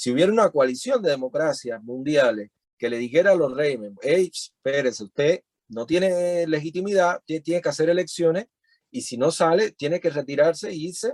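A normal speaking voice from a man, fairly high in pitch, with lively intonation at a moderate pace, in a dry, close sound with no echo. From Cuba (Cienfuegos, later Havana). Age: 30s. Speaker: musician and activist. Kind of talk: interview. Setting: video call.

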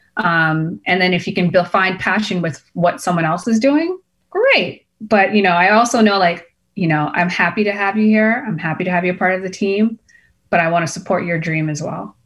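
A woman with an American accent uses a normal speaking voice and ordinary pitch variation. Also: medium pitch for a woman, moderate pace. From Boston, US. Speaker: entrepreneur, clothing brand founder. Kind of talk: interview.

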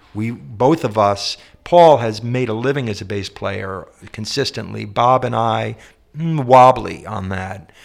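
The man has an unremarkable speaking voice at medium pitch. He talks fairly slowly with ordinary pitch variation. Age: 50s. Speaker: singer-songwriter and composer. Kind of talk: interview conversation. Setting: shared office space.

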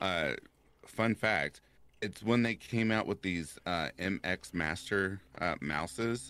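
With a Kentucky accent, a man speaks very slowly in a very deep, low voice with a bright, sharp tone. His pitch varies in an ordinary way, and the sound is dry and close with no echo. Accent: Kentucky Southern US. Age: 30s. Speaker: horror story narrator. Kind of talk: casual chat. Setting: live stream.

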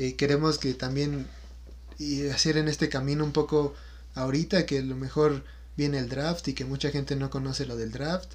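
The speaker has a Mexican accent and a moderate pace. It's a very clean recording with a silent background. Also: man. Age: 20s. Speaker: podcast co-host, student. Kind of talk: casual chat.

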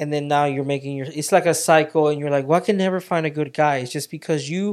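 In a very clean recording with a silent background, a man speaks in an ordinary speaking voice, fairly high in pitch with fairly even intonation. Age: 30s. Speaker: podcast co-host. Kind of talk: casual faith-based chat.

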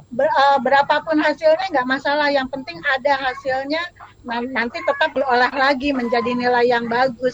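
A woman's high voice at a moderate pace, fairly even in intonation, with noticeable background noise. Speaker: school counselor. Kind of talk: panel discussion. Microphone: connection breaking up at times.

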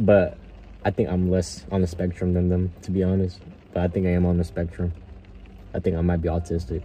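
A man speaks in a very deep, low voice that is somewhat breathy and flat in intonation, with long, frequent pauses. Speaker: podcast host. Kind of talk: casual chat. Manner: hesitant, with pauses.

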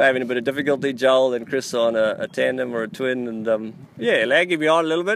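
Someone with an Australian accent talks at a very fast pace over noticeable background noise. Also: man, medium pitch for a man, ordinary pitch variation. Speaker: podcast host. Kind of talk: casual chat.

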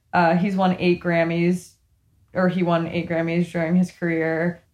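Over a quiet background, a woman speaks at a moderate pace in a fairly low, monotone, flat voice. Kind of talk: casual chat. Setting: remote recording from bedroom. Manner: giggly, laughs often.

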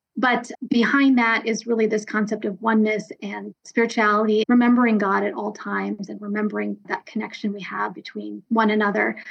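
In an ordinary speaking voice, a woman with an American accent talks at a moderate pace and a fairly high pitch. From US East Coast (DC area, New Jersey). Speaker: nonprofit executive director. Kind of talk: interview.

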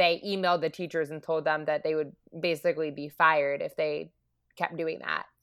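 On a very clean recording with a silent background, a woman with a fairly low pitch speaks in a bright, sharp tone with fairly even intonation. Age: 20s. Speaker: barista and transgender activist. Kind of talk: interview. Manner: hesitant, many fillers.

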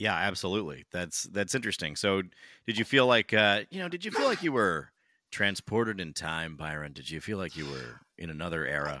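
With an American accent, a man speaks at a fairly quick pace in a very deep, low pitch, his bright, sharp tone carrying lively intonation and vocal fry. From California. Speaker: podcast co-host. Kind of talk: casual chat. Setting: video call.

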